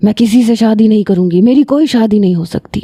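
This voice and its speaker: A woman uses a put-on character voice with a fairly high pitch. She talks at a fairly quick pace. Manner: growling, clear firm tone.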